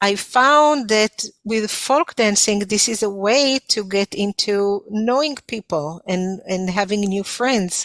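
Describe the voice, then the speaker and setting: A woman with an Israeli accent at a very slow pace, ordinary pitch variation, dry, close sound with no echo, and a very clean recording with a silent background. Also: medium pitch for a woman. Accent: foreign (Israeli). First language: Hebrew. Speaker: folk dance instructor. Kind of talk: interview. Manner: halting, many fillers.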